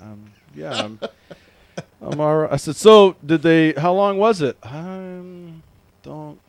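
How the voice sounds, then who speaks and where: A man with an American accent talks at a very slow pace with long, frequent pauses and big swings in loudness. His voice is fairly high, over noticeable background noise. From Washington State. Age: 40s. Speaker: podcast host. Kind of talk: casual chat. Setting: studio. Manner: animated.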